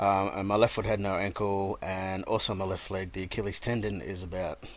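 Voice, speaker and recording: Fairly quick and fairly low, a man's voice carries on. His intonation is monotone and flat. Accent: Australian. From Australia. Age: 30s. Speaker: gamer telling his life story. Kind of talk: personal testimony. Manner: halting, many fillers.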